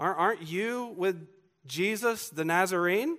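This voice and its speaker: A man speaks with a Southern US accent and ordinary pitch variation. The recording is very clean, with a silent background. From US South, Georgia. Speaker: pastor. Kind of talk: sermon.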